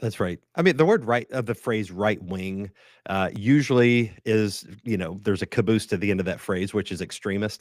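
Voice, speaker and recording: On a very clean recording with a silent background and a dry, close sound with no echo, a man with an American accent speaks in a plain, everyday voice, fairly low in pitch, at a moderate pace with ordinary pitch variation. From West Virginia (Huntington, Appalachia). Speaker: pastor and writer. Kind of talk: podcast interview.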